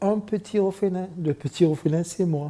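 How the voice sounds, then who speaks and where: In a somewhat breathy voice, a man talks at a fairly slow pace. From Mauritius. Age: 60s. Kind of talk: testimony. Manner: halting.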